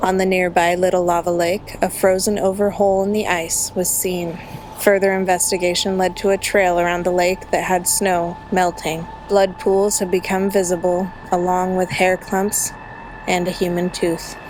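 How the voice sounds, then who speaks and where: Over noticeable background noise, a woman talks at a moderate pace in a medium pitch with a monotone, flat intonation. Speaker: true crime narrator. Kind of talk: true crime storytelling. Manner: soft-spoken.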